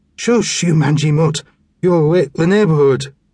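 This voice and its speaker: Putting on a raspy character voice, a man speaks at a fairly high pitch and moderate pace with ordinary pitch variation. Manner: slurred, angry.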